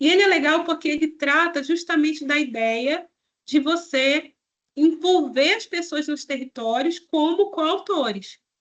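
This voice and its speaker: A woman's high-pitched voice at a fairly slow pace. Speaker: public health researcher. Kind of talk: lecture. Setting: online presentation.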